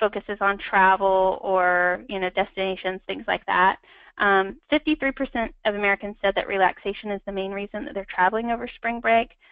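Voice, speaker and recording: Fairly quick speech from a woman at a medium pitch, its pitch varying in an ordinary way. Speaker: marketing strategist presenting a webinar. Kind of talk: webinar presentation. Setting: online webinar. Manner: fast; many filler words.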